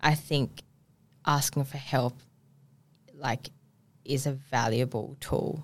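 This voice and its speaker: Speaking with an Australian accent, a woman has a very deep, low pitch and a flat monotone intonation. She goes at a very slow pace with long, frequent pauses. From Perth, Western Australia. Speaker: PR and media business owner. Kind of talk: casual chat. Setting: studio.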